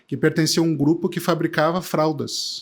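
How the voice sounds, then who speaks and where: A man's fairly high voice with a southern Brazilian accent at a fairly quick pace, on a very clean recording with a silent background. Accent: gaúcho. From southern Brazil, Porto Alegre. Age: 50s. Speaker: tech entrepreneur. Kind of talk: casual interview chat.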